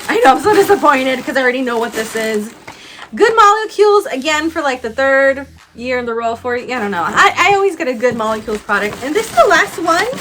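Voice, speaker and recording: A woman's high, animated voice, very fast, with very wide pitch swings, against noticeable background noise. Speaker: beauty YouTuber. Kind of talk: unboxing video, casual chat.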